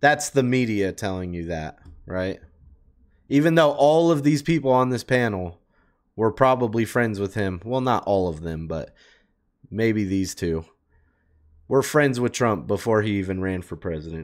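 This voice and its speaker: A man with a fairly low voice speaks in an animated tone at a moderate pace, against a quiet background. He leaves long, frequent pauses. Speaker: reaction YouTuber. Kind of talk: casual reaction commentary. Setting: streamer talking to chat. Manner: casual, animated. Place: home room. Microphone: headset.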